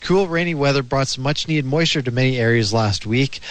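A man speaks at a medium pitch with ordinary pitch variation. It is an ordinary speaking voice. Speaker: news reader. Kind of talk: news reading.

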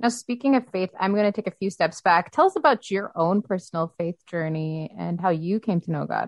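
Delivered at a fairly quick pace with ordinary pitch variation, this is an unremarkable speaking voice. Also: woman, medium pitch for a woman. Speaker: radio host. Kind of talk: interview.

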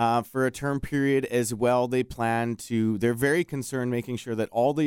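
Over a very clean recording with a silent background, a man with a Canadian accent uses an ordinary speaking voice at medium pitch, ordinary pitch variation and a fairly quick pace. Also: dry, close sound with no echo. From Alberta, Edmonton area. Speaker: local business owner. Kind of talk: radio interview. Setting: studio.

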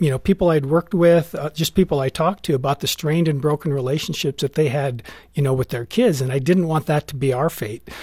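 This man's voice sits at a fairly high pitch and sounds somewhat breathy, with ordinary pitch variation and a dry, close sound with no echo. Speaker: parenting expert. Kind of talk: interview discussion about parenting.

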